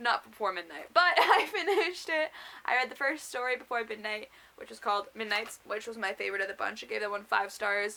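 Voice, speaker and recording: A woman's fairly high voice at a fairly quick pace, with lively intonation, big swings in loudness and noticeable background noise. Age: young. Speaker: booktuber. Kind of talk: casual vlog.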